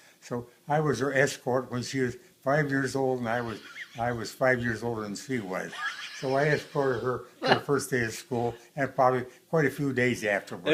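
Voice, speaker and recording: Noticeable background noise sits behind a man speaking at a moderate pace. His pitch is medium and his intonation fairly even. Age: 80s+. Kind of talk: interview answer.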